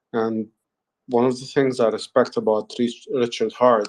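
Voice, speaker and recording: A man talks with a non-native accent at a medium pitch. His intonation stays fairly even. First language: not English. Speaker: human resources professional. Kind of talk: group audio chat. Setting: online audio space.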